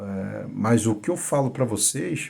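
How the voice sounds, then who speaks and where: Vocal fry runs through a man's dark, mellow tone. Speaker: Bible teacher. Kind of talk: lecture. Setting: at home. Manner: soft-spoken; halting.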